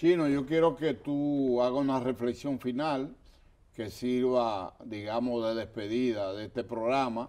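A man's voice with a dark, mellow tone moves at a fairly slow pace and a medium pitch. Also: ordinary pitch variation. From Dominican Republic, La Vega; Dominican Republic. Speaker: history TV show host. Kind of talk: TV interview. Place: studio. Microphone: lapel.

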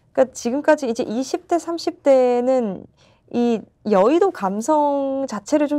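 A woman with a high pitch and a dark, mellow tone, very slow pace and very wide pitch swings, over a quiet background. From South Korea. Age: 20s. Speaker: political candidate; candidate. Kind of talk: political interview. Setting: studio. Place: studio. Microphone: lapel.

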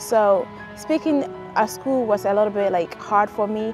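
A woman speaks at a moderate pace with a fairly high pitch. Clear music sits in the background, and the sound is dry with no echo. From Ghana. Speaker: college graduate. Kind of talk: interview answer. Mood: warm, reflective. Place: open country. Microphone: lapel.

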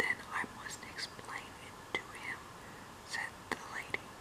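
Speech here is whispered. It moves fairly slowly. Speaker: reader. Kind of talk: audiobook reading of a novel. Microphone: phone near.

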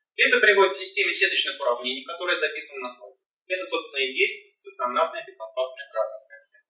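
Against a quiet background with audible room echo, a man talks at a very fast pace, his loudness swinging widely. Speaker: doctoral candidate defending dissertation; candidate. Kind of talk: academic presentation. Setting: in-person council meeting room. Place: hall. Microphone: camera far.

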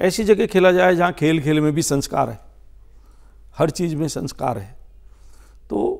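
Over a quiet background, a man with a fairly high pitch and vocal fry speaks at a moderate pace with lively intonation, big swings in loudness and long, frequent pauses. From India, Dehradun, Uttarakhand; Uttarakhand, India. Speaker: politician. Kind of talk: interview. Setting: studio. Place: studio. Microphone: lapel.

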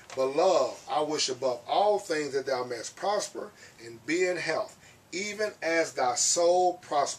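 A man's high-pitched voice at a fairly slow pace. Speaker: pastor. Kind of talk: sermon. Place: church. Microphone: camera far.

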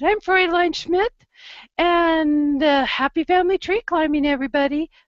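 A woman uses a put-on character voice, squeaky and pitched extremely high, with a cheerful tone. Her pace is moderate and her loudness very even.

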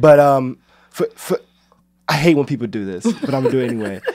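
In a normal speaking voice of medium pitch, a man talks at a fairly quick pace. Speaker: radio host. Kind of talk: casual chat. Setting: studio.

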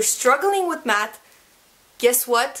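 High-pitched woman's voice, animated in tone, with lively intonation. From Quebec. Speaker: YouTuber. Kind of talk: casual tutorial vlog. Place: home room.

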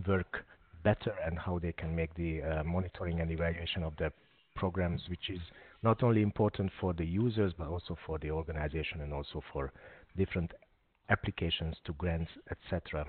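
At a fairly quick pace, a man speaks at a very deep, low pitch with fairly even intonation and a dry sound with no echo. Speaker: webinar host. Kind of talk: webinar introduction. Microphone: video call.

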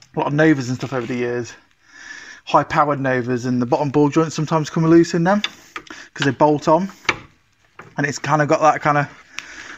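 The speech moves at a fairly quick pace. Light background noise can be heard. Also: man. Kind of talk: casual vlog chat. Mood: mildly disappointed, puzzled. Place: garage. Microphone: phone near.

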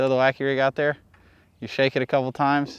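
At a fairly quick pace, a man speaks with monotone, flat intonation and a clear, smooth tone. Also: medium pitch for a man.

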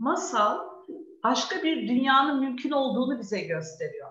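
A woman with a high pitch and an animated tone makes very wide pitch swings, with audible room echo over a quiet background. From Istanbul, Turkey; Turkey. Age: 40s. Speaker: children's book author and preschool teacher; preschool teacher. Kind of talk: talk with young children online. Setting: video call. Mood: warm storytelling tone. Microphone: video call.

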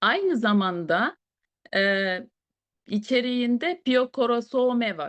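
This woman's intonation is lively. The sound is dry and close with no echo, over a quiet background. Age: 40s. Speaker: beautician and product presenter. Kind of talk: product presentation. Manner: hesitant with fillers.

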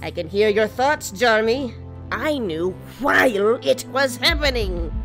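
Over clear background music, a woman uses a cartoonish character voice at a fairly slow pace.

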